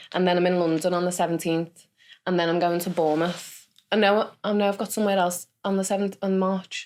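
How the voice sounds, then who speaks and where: A woman talks at a fairly quick pace with a Liverpool accent. Her voice is fairly low and monotone, with flat intonation. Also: very even loudness. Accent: Scouse. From Liverpool, England. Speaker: stand-up comedian. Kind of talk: casual chat.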